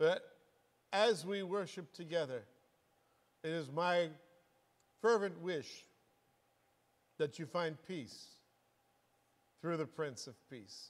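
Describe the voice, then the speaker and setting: Pausing long and often, a man speaks at a very slow pace. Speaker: congregation pastor. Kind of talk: sermon welcome address. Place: church. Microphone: lapel.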